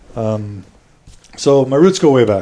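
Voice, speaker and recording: This man has a fairly high pitch and a dark, mellow tone. He speaks fairly slowly in an American accent. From Texas (Houston). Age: 30s. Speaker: podcast host. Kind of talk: interview, telling own life story. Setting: at home.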